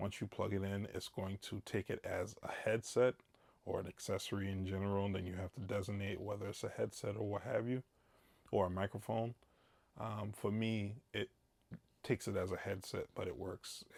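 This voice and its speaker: A man's fairly low voice, flat and monotone, at a moderate pace. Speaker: product reviewer. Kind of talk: product review talk to camera. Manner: casual, hesitant with fillers.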